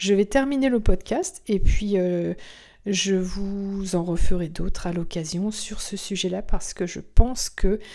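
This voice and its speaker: On a very clean recording with a silent background, a woman speaks at a very slow pace in a calm, dark, mellow tone, her medium pitch showing ordinary variation while her loudness swings widely. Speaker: spiritual medium and podcast host. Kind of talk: spiritual podcast monologue.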